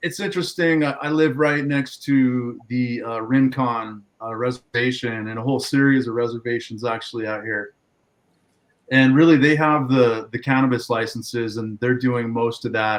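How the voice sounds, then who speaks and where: A man with an American accent and a plain, everyday voice talks at a moderate pace, his medium pitch following fairly even intonation. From Southern California, San Diego. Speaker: farmer. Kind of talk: casual chat.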